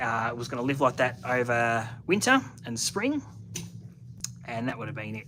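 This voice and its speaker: With a strong Australian accent, the speaker has a bright, sharp tone, pauses long and often, and swings widely in loudness. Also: man. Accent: broad Australian. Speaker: car hobbyist YouTuber. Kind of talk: live stream chat with viewers. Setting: home shed, live stream. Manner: casual, halting with fillers.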